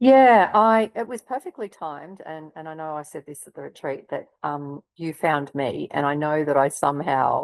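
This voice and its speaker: A woman with a very deep, low pitch speaks in a dry, close sound with no echo over a quiet background. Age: 50s. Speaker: breast cancer survivor. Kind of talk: interview answer.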